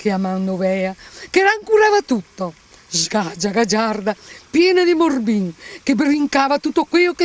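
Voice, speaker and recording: A woman with a fairly high pitch moves through very wide pitch swings at a fairly slow pace. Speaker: actress. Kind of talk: poetry reading.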